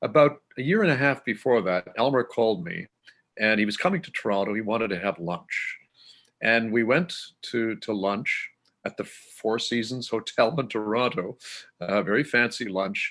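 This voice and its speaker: Using a normal speaking voice, a man with a Canadian accent talks at a moderate pace in a medium pitch with lively intonation. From southern Manitoba, Canada. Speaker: classical music broadcaster. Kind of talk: interview.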